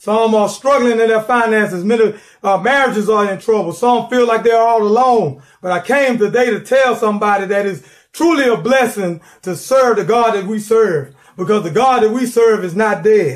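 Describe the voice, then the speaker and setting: Against a quiet background, a man talks at a moderate pace in a high pitch. His tone is animated, with ordinary pitch variation. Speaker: preacher. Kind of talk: sermon. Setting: church. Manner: animated, call-and-response, impassioned; repetitive, rhythmic, urgent. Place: home room. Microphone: phone near.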